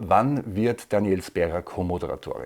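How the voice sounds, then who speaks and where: This man's voice shows ordinary pitch variation. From Austria. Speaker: comedy news video maker. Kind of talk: viewer Q&A, casual monologue. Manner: hesitant with fillers.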